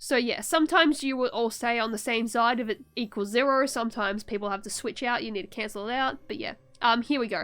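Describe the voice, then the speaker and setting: Hardly pausing at all, a woman talks at a very fast pace with a fairly high pitch and ordinary pitch variation. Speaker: vtuber streamer. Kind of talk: tutorial. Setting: live stream. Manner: halting.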